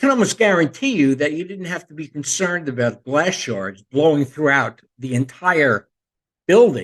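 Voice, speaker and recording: A man's normal speaking voice with an American accent, fairly high in pitch, at a moderate pace with lively intonation. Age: 60s. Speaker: podcast host, retired teacher. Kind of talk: casual monologue.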